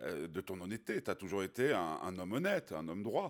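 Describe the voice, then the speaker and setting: This man has a fairly low-pitched voice. He talks at a moderate pace with lively intonation. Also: very clean recording, silent background. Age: 50s. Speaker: radio host. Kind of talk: interview. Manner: halting.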